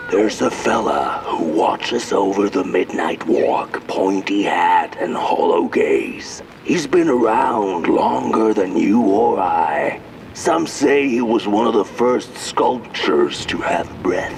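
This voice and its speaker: Shouting in a cartoonish character voice, a man speaks at a fairly slow pace against clear background noise. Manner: folksy, musing.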